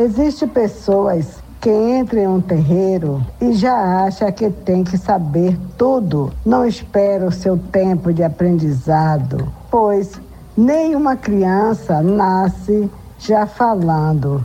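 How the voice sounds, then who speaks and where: With lively intonation and very even loudness, a woman speaks at a very slow pace. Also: medium pitch for a woman. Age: old. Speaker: religious elder. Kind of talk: radio reflection message. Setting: radio broadcast.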